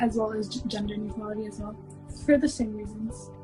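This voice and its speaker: Music plays in the background as a woman speaks with fairly even intonation. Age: young. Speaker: college student. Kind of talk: interview answer.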